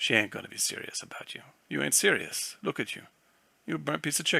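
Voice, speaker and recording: Putting on a character voice, a man rattles along at a very fast pace with a raspy sound. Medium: read story. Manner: blunt, slangy.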